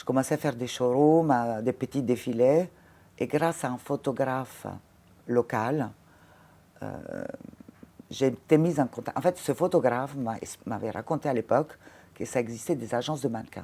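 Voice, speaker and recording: A woman's very deep, low voice with a dark, mellow tone, ordinary pitch variation, big swings in loudness and long, frequent pauses. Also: moderate pace. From Italy, Ravenna. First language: Italian (speaking French). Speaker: former fashion model and casting director. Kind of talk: interview conversation. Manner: halting, frequent hesitations.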